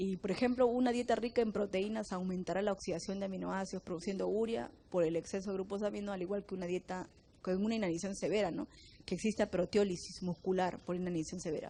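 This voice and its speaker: Rattling along at a very fast pace, a woman speaks at a medium pitch with fairly even intonation and a dark, mellow tone. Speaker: biochemistry teacher. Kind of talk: lecture.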